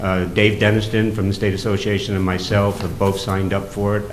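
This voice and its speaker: Fairly quick speech from a man with a fairly low pitch, with audible room echo and noticeable background noise. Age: 60s. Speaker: fire district commissioner. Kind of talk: public meeting remarks. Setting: town board meeting. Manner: animated.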